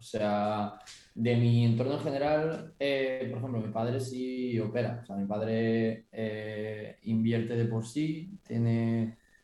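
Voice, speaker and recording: A man at medium pitch with fairly even intonation and a very slow pace. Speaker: forex and crypto trader, student. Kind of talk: casual chat.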